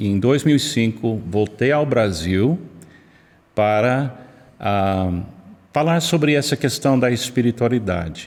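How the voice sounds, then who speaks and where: Here a man speaks in an American accent at a medium pitch. His pace is fairly slow, with ordinary pitch variation. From United States. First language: English (speaking Portuguese). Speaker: pastor, missionary. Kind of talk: interview podcast. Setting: church building.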